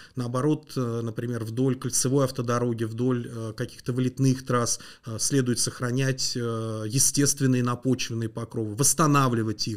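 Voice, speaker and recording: The background stays quiet. A man talks in a monotone, flat intonation. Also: medium pitch for a man, fairly slow pace. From Moscow region, Russia (Mytishchi); Moscow region, Russia. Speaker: landscape engineer; guest. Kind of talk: interview. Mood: calm, explanatory. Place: studio. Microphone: studio mic.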